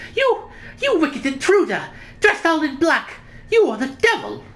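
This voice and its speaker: This man uses a put-on character voice pitched extremely high. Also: moderate pace. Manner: accusing, dramatic.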